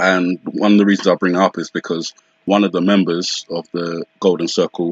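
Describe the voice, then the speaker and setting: A man's very deep, low voice, monotone and flat, at a fairly quick pace. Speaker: conspiracy video commentator. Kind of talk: solo video commentary. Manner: fast; hesitant, many fillers.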